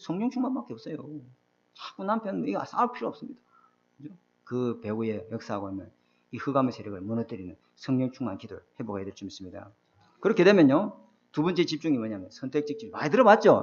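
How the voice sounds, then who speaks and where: A man at a very fast pace, fairly high in pitch, with very wide pitch swings and big swings in loudness. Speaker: pastor. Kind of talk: sermon.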